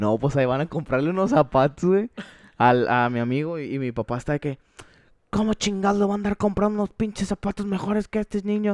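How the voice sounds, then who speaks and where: With a Mexican accent, a man talks at a fairly quick pace with very wide pitch swings, in a dry, close sound with no echo. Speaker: podcast host. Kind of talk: casual chat.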